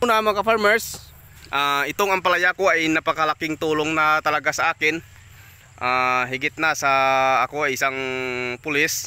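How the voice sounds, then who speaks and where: Pausing long and often, a man speaks at a moderate pace in a fairly high, bright, sharp voice with ordinary pitch variation, very even loudness, and a dry sound with no echo. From Philippines. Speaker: police officer and farmer vlogger; farmer vlogger. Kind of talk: casual vlog talk to camera. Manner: hesitant, many filler sounds. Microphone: phone near.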